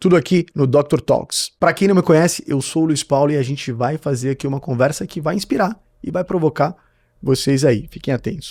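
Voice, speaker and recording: A man's animated, fairly high voice at a fairly quick pace, with ordinary pitch variation and a dry, close sound with no echo. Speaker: podcast host and marketing mentor. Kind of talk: interview podcast. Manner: talkative, animated.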